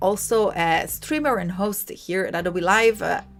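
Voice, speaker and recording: A woman with an Italian accent speaks in an animated tone at a medium pitch with ordinary pitch variation, and noticeable background noise is present. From Italy. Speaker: livestream host, designer. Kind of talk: live tutorial. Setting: live stream.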